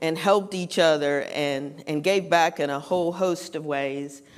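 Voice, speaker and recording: A woman with a North Carolina accent at a fairly slow pace, ordinary pitch variation, on a very clean recording with a silent background. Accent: North Carolina Southern. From Western North Carolina (Morganton). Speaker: writer and speaker on philanthropy. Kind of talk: conference talk.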